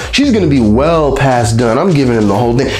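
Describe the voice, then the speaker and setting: With audible room echo and noticeable background noise, a man of medium pitch speaks in an animated tone with lively intonation. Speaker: vlogger. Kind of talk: casual monologue.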